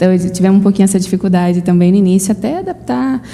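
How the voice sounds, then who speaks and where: A woman is speaking. Her pace is very fast. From Brazil. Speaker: missionary. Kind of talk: interview.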